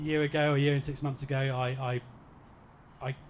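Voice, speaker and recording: With a medium pitch and a somewhat breathy voice, a man speaks in a flat monotone. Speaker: groom. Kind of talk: wedding speech. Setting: wedding reception with audience. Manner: halting.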